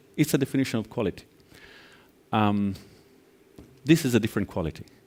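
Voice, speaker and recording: A man with an Italian accent. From Italy, near Venice. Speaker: angel investor and conference speaker. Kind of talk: conference keynote.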